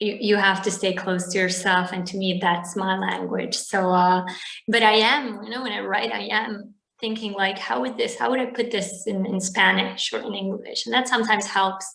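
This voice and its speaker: Audible room echo around a woman's voice of medium pitch. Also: ordinary pitch variation, moderate pace. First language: Bosnian/Serbo-Croatian. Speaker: novelist. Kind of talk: interview.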